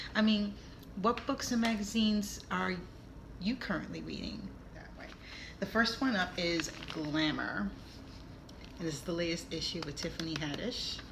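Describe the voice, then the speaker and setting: Over noticeable background noise, a woman with a New York accent talks at a moderate pace and a fairly low pitch, using lively intonation and long, frequent pauses. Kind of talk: casual talk to camera.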